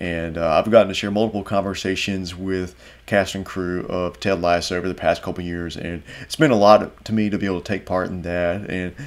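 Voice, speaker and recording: A man with a North Carolina accent, a very deep, low pitch, and flat, monotone intonation. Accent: Southern US, North Carolina. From US South, North Carolina. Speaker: film critic, interviewer. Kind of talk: scripted intro; interview.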